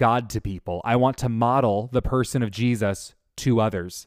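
An unremarkable speaking voice from a man, medium-pitched, moderately paced, fairly even in intonation, on a very clean recording with a silent background and a dry, close sound with no echo. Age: 30s. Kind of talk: faith teaching monologue.

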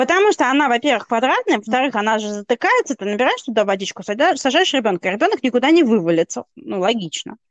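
A woman with a high pitch talks at a very fast pace with hardly any pauses. Her pitch swings very widely, and the sound is dry and close with no echo. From Russia. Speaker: podcast co-host. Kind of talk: casual chat.

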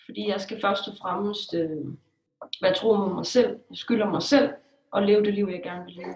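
Delivered at a moderate pace, a normal speaking voice with ordinary pitch variation swings widely in loudness. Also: woman, medium pitch for a woman. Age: 20s. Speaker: blogger. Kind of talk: interview.

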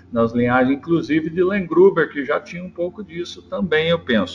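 Amid noticeable background noise, a man speaks at a fairly high pitch. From Brazil, São Paulo state interior (Jaú region). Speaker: cattle breeder and auctioneer. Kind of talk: interview.

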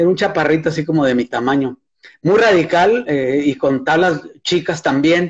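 An unremarkable speaking voice belongs to a man with a fairly high pitch. He talks at a fairly slow pace, with ordinary pitch variation. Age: 60s. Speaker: surfer and surfboard builder. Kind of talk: casual chat.

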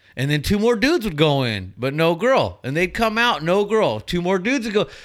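Here a man speaks with an American accent and very wide pitch swings. The recording is very clean, with a silent background. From Southern California, Inland Empire. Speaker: former loss prevention agent. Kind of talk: casual chat.

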